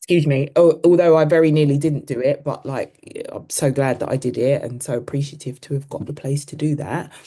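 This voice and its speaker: Talking at a fairly quick pace in a London accent, a woman uses a very deep, low pitch and fairly even intonation. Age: 50s. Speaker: running coach. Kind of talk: casual chat. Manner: casual, hesitant with fillers.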